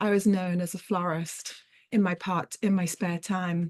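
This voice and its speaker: This woman talks at a moderate pace and a medium pitch, her intonation flat and monotone. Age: 40s. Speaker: crochet artist and teaching artist. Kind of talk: online artist talk. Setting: video call. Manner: hesitant, with frequent fillers.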